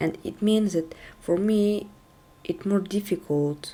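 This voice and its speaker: This speaker is a woman with a non-native accent. She uses ordinary pitch variation. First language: not English. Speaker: tech video creator. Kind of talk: casual talk to camera. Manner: halting.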